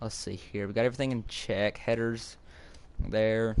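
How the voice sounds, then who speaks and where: At a moderate pace, a man speaks at a fairly low pitch with monotone, flat intonation. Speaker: gaming YouTuber. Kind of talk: gameplay commentary. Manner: halting.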